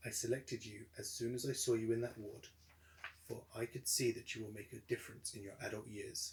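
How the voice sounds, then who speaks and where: A man puts on a gruff character voice at a medium pitch. He talks at a fairly quick pace. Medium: read story.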